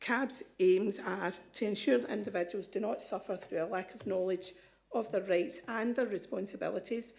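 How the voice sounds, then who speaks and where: A woman with a Scottish accent speaks at a moderate pace in a dark, mellow tone, medium in pitch with ordinary pitch variation. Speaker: advice charity representative. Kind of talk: presentation to council committee. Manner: hesitant, many ums.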